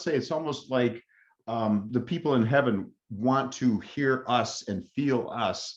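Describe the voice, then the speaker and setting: Using an ordinary speaking voice, a man talks at a fairly slow pace with medium pitch and ordinary pitch variation. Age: 60s. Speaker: interviewer. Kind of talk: casual conversation.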